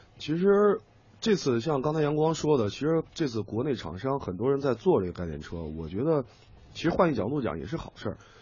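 Somewhat breathy, this man speaks at a medium pitch and a fairly quick pace. His pitch swings very widely. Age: 30s. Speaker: radio commentator and editor. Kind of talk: radio talk show chat.

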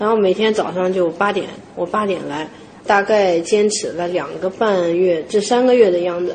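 Amid noticeable background noise, a woman at medium pitch speaks with a Henan accent and fairly even intonation. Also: moderate pace. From Henan, China. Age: 30s. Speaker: traditional pastry chef. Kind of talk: interview.

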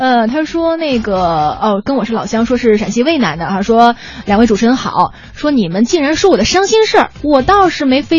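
A woman talks at a fairly quick pace with a high pitch and very wide pitch swings. Noticeable background noise is present. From China, Shaanxi (Weinan). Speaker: radio host. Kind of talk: casual chat. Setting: studio.

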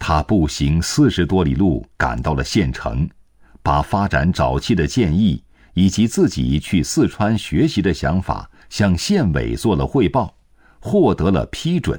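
Speaking at a fairly slow pace in a solemn, dramatic tone, a man with a very deep, low pitch and vocal fry makes very wide pitch swings while keeping his loudness very even. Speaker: narrator. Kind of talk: history documentary narration. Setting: studio. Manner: measured, solemn, steady pace; formal, dramatic storytelling tone.

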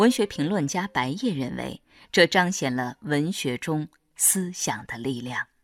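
In a very clean recording with a silent background and a dry, close sound with no echo, a woman with a very deep, low pitch speaks at a fairly slow pace with very wide pitch swings. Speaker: narrator. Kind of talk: documentary narration.

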